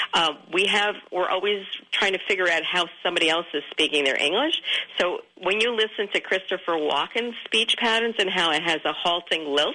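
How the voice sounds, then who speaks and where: With a New York accent, a woman talks at a moderate pace and medium pitch, with ordinary pitch variation and very even loudness over noticeable background noise. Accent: Queens New York. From Queens, New York City. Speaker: author and communications consultant. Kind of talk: radio interview. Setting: radio studio.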